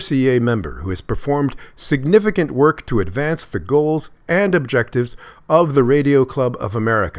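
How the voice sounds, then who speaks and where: Pitch swings very widely as a man talks at a fairly high pitch, recorded very cleanly against a silent background. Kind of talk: news reading. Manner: formal, steady, dense with regulatory wording read clearly.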